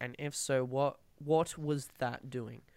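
A man with an Australian accent speaks at a fairly high pitch. The recording is very clean, with a silent background. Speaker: podcast host. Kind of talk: casual interview. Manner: halting.

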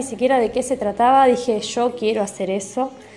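Music in the background behind a woman talking at a moderate pace, with ordinary pitch variation. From Argentina, Mar del Plata (Buenos Aires province). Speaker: numerologist and Reiki teacher. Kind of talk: interview answers.

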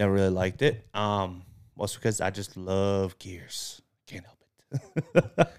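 A man with an American accent and a normal speaking voice uses fairly even intonation and fairly low pitch, with big swings in loudness, in a very clean recording with a silent background. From Massachusetts. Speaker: podcast co-host. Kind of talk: casual chat.

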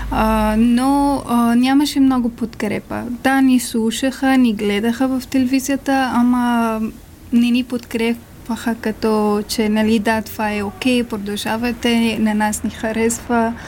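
At a fairly slow pace, a woman talks in a fairly high pitch with monotone, flat intonation. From Afghanistan. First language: not Bulgarian (Afghan language) (speaking Bulgarian). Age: 20s. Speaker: refugee, small business owner. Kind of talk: interview. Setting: studio.

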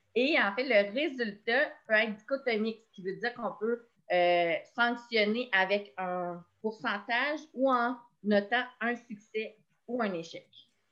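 A woman speaks at a very slow pace with a fairly high pitch. Her loudness swings a lot, while her pitch variation is ordinary. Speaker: education community coordinator. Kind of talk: online professional meeting. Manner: halting, many repetitions.

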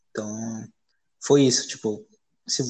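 The speaker is somewhat breathy, with fairly even intonation and a fairly slow pace. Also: man. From Brazil, São Paulo area (Carapicuíba). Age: 20s. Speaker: poet. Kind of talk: casual interview. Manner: casual, slangy.

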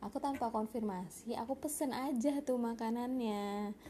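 A woman speaks with a nasal quality and a dark, mellow tone. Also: fairly high pitch for a woman, ordinary pitch variation, moderate pace.

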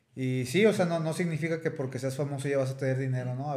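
With audible room echo, a man talks in a medium pitch with a Mexican accent and fairly even intonation. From Mexico, Tepic. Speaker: mixed martial arts fighter. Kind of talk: interview.

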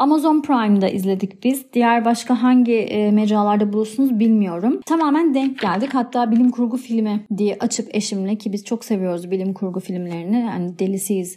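A woman with a fairly high pitch and a dark, mellow tone sounds somewhat breathy and leaves hardly any pauses. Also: ordinary pitch variation, moderate pace. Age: 30s. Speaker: podcast host. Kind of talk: solo podcast monologue. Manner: warm, animated.

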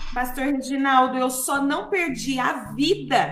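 Audible room echo carries a woman's high-pitched voice. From interior of São Paulo state, Brazil. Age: 40s. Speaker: gospel singer. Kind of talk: radio interview, testimony.

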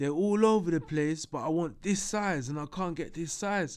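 A man with a London accent and a fairly high pitch speaks with lively intonation at a moderate pace. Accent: London, multicultural London English. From north London (Tottenham, Hackney). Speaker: entrepreneur. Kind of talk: casual chat.

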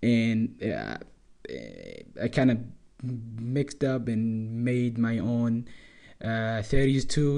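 Using monotone, flat intonation, a man speaks at medium pitch with a dark, mellow tone. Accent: non-native. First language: not English. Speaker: podcast host. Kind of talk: casual monologue. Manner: halting.

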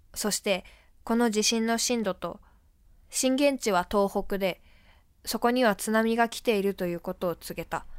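A woman with an unremarkable speaking voice talks at a moderate pace and a fairly high pitch with ordinary pitch variation. The recording is very clean with a silent background. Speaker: theater performer. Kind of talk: reading aloud.

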